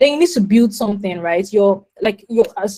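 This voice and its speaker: The delivery moves along fairly quickly. A somewhat breathy quality runs through it. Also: woman. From Nigeria, Lagos. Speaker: product manager. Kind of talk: webinar talk. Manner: fast.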